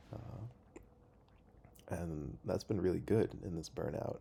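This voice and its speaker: Quiet and very deep, a man's dark, mellow voice carries vocal fry at a moderate pace. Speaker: video blogger. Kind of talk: casual monologue. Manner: quiet, hesitant with fillers.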